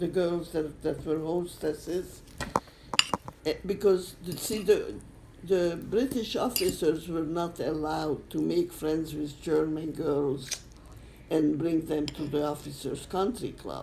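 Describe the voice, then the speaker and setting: A woman's very deep, low voice at a very slow pace, with ordinary pitch variation and noticeable background noise. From Czechoslovakia. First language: not English. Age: old. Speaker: Holocaust survivor. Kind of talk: interview answer. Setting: home recording.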